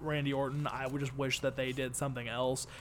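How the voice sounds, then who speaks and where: The voice belongs to a man. It rests at a medium pitch. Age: 20s. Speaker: wrestling podcast co-host. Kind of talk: casual chat.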